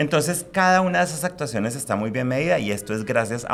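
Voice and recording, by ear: The speaker keeps a moderate pace with a fairly bright tone and lively intonation. Vocal fry runs through the voice. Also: man.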